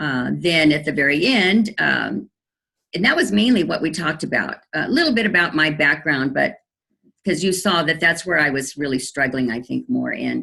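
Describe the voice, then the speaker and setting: A woman's very deep, low voice with a bright, sharp tone, vocal fry, lively intonation and a moderate pace. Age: 60s. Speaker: nurse, coaching client. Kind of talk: testimony interview. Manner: halting with many fillers.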